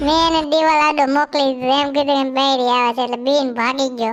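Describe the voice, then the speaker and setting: In a cartoonish character voice, a woman speaks at a high pitch and moderate pace, with monotone, flat intonation and very even loudness. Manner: sarcastic, teasing.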